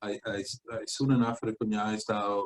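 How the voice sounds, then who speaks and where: The speaker uses fairly even intonation in an Italian accent. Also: man, dry, close sound with no echo. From Italy (Venice). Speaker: founder of an educational project. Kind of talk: interview. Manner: halting, many fillers.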